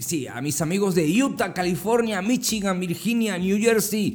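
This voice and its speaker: A man's voice with audible room echo. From Andalusia, Spain (Motril). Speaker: podcast host. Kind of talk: casual greeting; motivational monologue.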